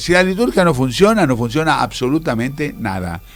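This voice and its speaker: His pitch swings very widely as this man speaks at a moderate pace. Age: 70s. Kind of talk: radio interview. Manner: halting, with repetitions.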